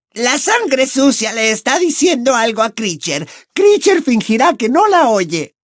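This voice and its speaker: A man's put-on character voice, extremely high-pitched, at a moderate pace. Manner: sullen, resentful.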